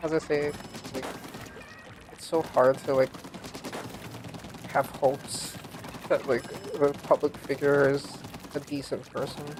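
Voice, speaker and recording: Someone mumbles at a fairly slow pace, leaving long, frequent pauses. Noticeable background noise runs underneath. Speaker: vtuber game streamer. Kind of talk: casual gaming livestream chat. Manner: mumbly; casual, filler-heavy.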